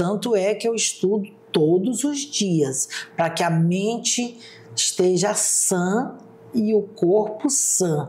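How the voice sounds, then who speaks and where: With very even loudness and lively intonation, a woman speaks at a very slow pace and a medium pitch over noticeable background noise. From Brazil, Roraima (Mucajaí). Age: 60s. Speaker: public defender and former teacher. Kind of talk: interview.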